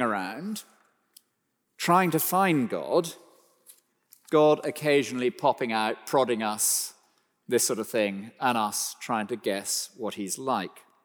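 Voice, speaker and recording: The recording is very clean, with a silent background. A man talks at a fairly slow pace, his pitch swinging very widely. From West Country, England. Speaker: preacher. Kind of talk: sermon.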